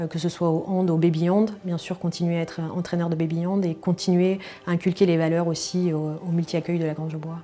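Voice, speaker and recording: Music plays in the background as a woman speaks at a fairly low pitch. Her delivery is fairly quick, with monotone, flat intonation. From France, Moselle (Metz), Lorraine. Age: 30s. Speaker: early childhood educator and handball goalkeeper. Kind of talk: interview testimony. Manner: hesitant, many fillers.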